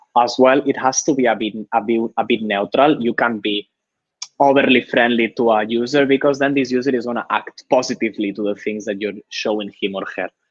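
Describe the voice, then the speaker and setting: A man with a Spanish accent talks at a moderate pace, his medium-pitched voice keeping a fairly even intonation. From Spain. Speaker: user researcher. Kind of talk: live webinar talk. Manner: halting, frequent repetitions.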